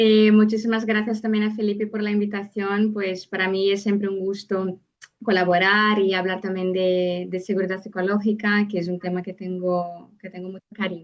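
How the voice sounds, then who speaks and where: A woman at a medium pitch, in a Brazilian accent, monotone and flat, at a moderate pace with hardly any pauses. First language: Portuguese (speaking Spanish). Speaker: psychologist and seminar speaker. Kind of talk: lecture. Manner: halting.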